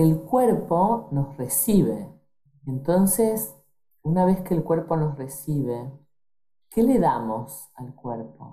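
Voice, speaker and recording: A woman's very deep, low, somewhat breathy voice in an Argentine accent, dark and mellow in tone, with very wide pitch swings, a very slow pace and long, frequent pauses. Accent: Rioplatense Argentine Spanish. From Argentina, Rosario. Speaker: doctor. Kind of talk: interview.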